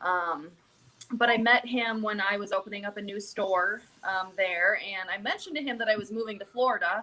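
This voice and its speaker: With a Minnesotan accent, a woman speaks at a fairly quick pace and medium pitch. Her pitch varies in an ordinary way. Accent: Minnesota. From Minnesota, US Midwest. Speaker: pet food company sales representative. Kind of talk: live video interview.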